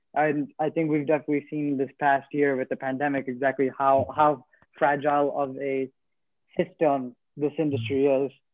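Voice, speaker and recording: The speaker has an American accent and keeps a moderate pace. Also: man. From New Jersey. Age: 20s. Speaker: chef. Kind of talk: casual interview.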